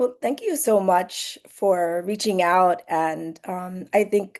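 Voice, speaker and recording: Against a quiet background, a woman's dark, mellow tone sits at medium pitch with ordinary pitch variation. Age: 50s. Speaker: law professor. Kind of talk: oral history interview. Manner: hesitant, many fillers.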